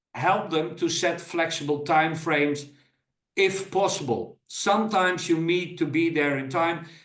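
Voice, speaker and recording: At a fairly slow pace, a man speaks with a high pitch and fairly even intonation amid audible room echo. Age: 60s. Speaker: business coach. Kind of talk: presentation. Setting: recorded video presentation.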